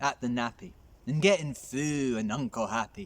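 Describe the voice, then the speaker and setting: This man has a plain, everyday voice at a medium pitch. He speaks at a fairly slow pace. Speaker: storyteller. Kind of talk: poetry reading.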